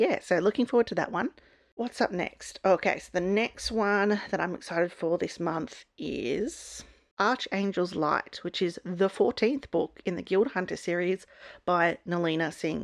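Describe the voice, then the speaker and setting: A woman with an Australian accent speaks at a fairly slow pace against a quiet background. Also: medium pitch for a woman, ordinary pitch variation. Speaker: book YouTuber. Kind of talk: casual book review vlog.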